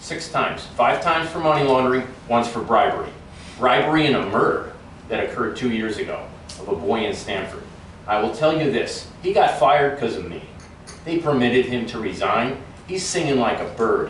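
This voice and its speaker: A man's fairly high, lively voice at a fairly quick pace, with audible room echo and noticeable background noise. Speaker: political candidate. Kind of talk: campaign speech with audience questions. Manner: fast.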